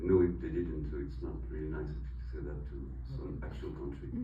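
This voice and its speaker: A man with a French accent at a moderate pace, with audible room echo. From France. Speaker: film director. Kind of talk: interview. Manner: halting, many fillers and restarts.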